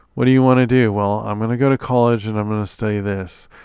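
On a very clean recording with a silent background, a man with an ordinary speaking voice and a fairly low pitch speaks with fairly even intonation. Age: 40s. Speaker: podcast host, software engineer. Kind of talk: solo monologue podcast. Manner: casual, conversational with many fillers.

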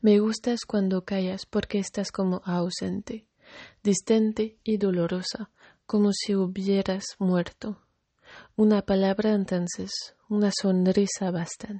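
At a very slow pace, a woman with a medium pitch talks in a somewhat breathy, monotone voice with flat intonation. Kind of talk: poem reading aloud. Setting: addressing a person named Kari, greeting her good evening. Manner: soft, tender, intimate; slow, measured, with pauses.

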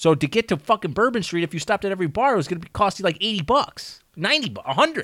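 A man with an American accent, high in pitch with very wide pitch swings, bright and sharp in tone, at a very fast pace, on a very clean recording with a silent background and a dry, close sound with no echo. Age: 30s. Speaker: podcast co-host. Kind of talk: casual chat.

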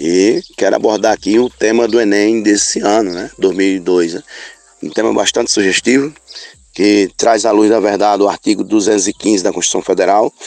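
Fairly low-pitched, a man speaks at a moderate pace with fairly even intonation, in a dry, close sound with no echo and noticeable background noise. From Rodela, Bahia, Brazil. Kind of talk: recorded audio message.

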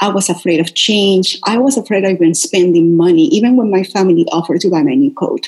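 A woman's very fast, medium-pitched voice in a Spanish accent, with lively intonation, very even loudness and hardly any pauses. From Venezuela. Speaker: wellness coach. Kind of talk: interview. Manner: animated.

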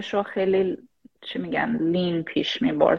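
Her speech is very slow, and the woman's pitch varies in an ordinary way. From Iran, Shahrud (Semnan province). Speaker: AI product manager. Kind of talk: casual chat. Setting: live stream.

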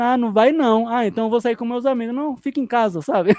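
At a fairly quick pace, a man talks in a dark, mellow tone at an extremely high pitch, recorded dry and close with no echo over a quiet background. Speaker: sim racing driver and streamer. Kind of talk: casual chat.

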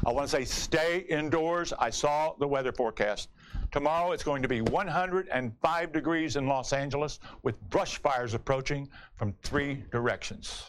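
This man has an unremarkable speaking voice, fairly high in pitch, with ordinary pitch variation. He talks at a moderate pace, and his loudness stays very even. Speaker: comedian and talk show host. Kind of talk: stand-up monologue and interview. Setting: studio with live audience.

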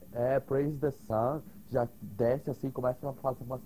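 Here a man talks at a fairly slow pace and medium pitch. His tone is dark and mellow, somewhat breathy, with ordinary pitch variation. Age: 20s. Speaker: podcast guest. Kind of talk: casual chat. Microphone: cutting out, hard to hear.

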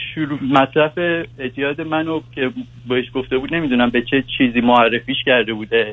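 The man's pitch is medium and his pace moderate. He keeps a fairly even intonation. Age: 20s. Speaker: caller. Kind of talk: advice call-in. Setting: phone call. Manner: halting.

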